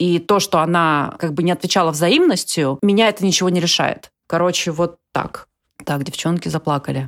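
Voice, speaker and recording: This woman has a plain, everyday voice, fairly low in pitch with ordinary pitch variation and very even loudness. She talks at a moderate pace on a very clean recording with a silent background. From Siberia, Russia (Ust-Ilimsk). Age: 30s. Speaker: writer. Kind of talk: casual chat.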